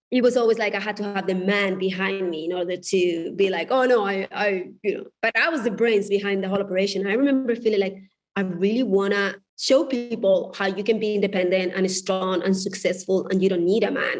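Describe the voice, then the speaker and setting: A woman with a Spanish accent talks at a fairly quick pace. Her pitch is medium and her intonation fairly even. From Spain. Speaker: divorce coach and author. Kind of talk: podcast interview.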